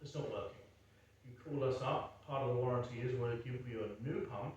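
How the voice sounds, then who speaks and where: At a moderate pace, a man speaks at medium pitch with fairly even intonation. Audible room echo and noticeable background noise surround him. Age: 60s. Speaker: home repair contractor. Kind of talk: sales pitch; casual chat.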